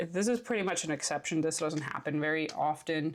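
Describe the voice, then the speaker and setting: At a moderate pace, a woman talks with vocal fry and a fairly low pitch. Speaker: planner and stationery youtuber. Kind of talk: casual planner flip-through. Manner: casual with many fillers.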